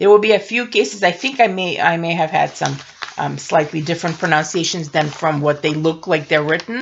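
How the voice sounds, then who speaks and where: Speaking at a fairly quick pace, a woman with a Russian accent has a fairly low pitch. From Russia, Moscow. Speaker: science fiction author. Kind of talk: casual tutorial. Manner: halting.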